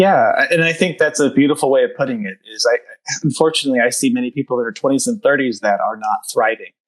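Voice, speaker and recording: A man with an American accent talks at a very fast pace. The sound is dry and close, with no echo. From United States. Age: 30s. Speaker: pharmacist and improv comedian. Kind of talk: podcast interview.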